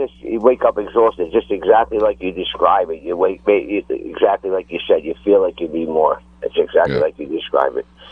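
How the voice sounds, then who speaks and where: With an American accent, a man talks at a fairly quick pace with hardly any pauses against noticeable background noise. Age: 50s. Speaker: caller. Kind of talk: call-in question.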